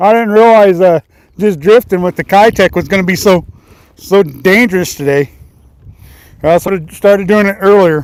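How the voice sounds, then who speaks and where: A man with an American accent speaks in a high voice. He leaves long, frequent pauses. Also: ordinary pitch variation, moderate pace, dry, close sound with no echo. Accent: Missouri accent, heard as southern. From Missouri. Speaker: fishing livestreamer. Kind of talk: live fishing stream chat. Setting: outdoors on a lake. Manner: casual, repetitive.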